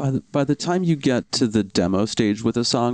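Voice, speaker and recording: An ordinary speaking voice from a man, moderate in pace with ordinary pitch variation, in a dry, close sound with no echo. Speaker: music podcast host. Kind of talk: interview.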